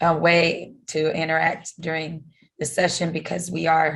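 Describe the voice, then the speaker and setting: A woman speaks at a fairly low pitch against a quiet background. Her voice is somewhat breathy. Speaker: professional development staff at a college. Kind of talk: conference presentation. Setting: video call. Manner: halting, many fillers.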